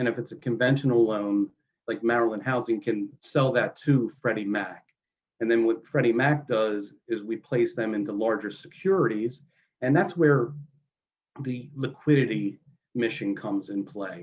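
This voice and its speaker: A man with an American accent, medium pitch, ordinary pitch variation and a moderate pace. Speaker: mortgage industry presenter. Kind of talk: webinar presentation. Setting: online webinar. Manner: casual, many fillers.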